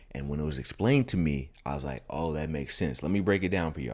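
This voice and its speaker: At a very fast pace, a man speaks with vocal fry and ordinary pitch variation. His pitch sits very deep and low. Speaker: travel vlogger. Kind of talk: casual vlog narration. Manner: casual, slangy.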